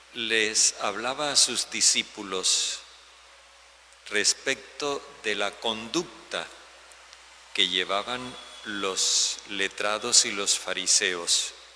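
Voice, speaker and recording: Speaking at a very slow pace with long, frequent pauses, a man uses a fairly low pitch with ordinary variation. Noticeable background noise runs behind him. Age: 70s. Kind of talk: homily.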